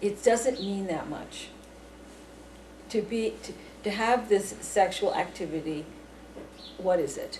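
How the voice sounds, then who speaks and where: Noticeable background noise is present throughout. Over it, a woman speaks at a fairly slow pace. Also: medium pitch for a woman, ordinary pitch variation, big swings in loudness. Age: 50s. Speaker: UFO researcher. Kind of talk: interview. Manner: halting.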